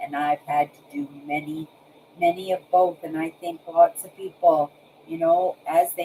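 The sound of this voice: At a fairly slow pace, a woman speaks with a slightly mellow tone, a slightly husky edge, and ordinary pitch variation.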